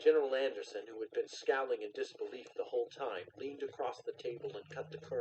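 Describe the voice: Simple, plain reading aloud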